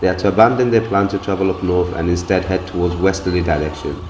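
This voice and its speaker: A man talks at a very fast pace, his pitch very deep and low. His intonation is fairly even, and noticeable background noise is present. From grew up abroad, left Bangladesh as a toddler. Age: 40s. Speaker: travel and heritage video narrator. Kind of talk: scripted narration. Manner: formal.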